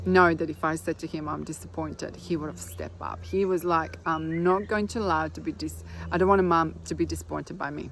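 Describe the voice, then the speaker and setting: A woman with a non-native accent, fairly quick, with hardly any pauses. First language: not English. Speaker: spiritual healer. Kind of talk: casual vlog monologue. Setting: outdoors.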